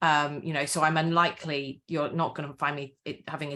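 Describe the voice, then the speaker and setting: Speaking with a slight Welsh accent, a woman has a very deep, low pitch and a bright, sharp tone. Her intonation is monotone and flat, and her pace is fairly quick. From Wales. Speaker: author and campaigner. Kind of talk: interview.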